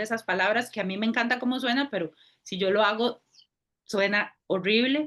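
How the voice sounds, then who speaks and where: Her intonation holds fairly level. The speaker is a woman. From Costa Rica. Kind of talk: casual chat.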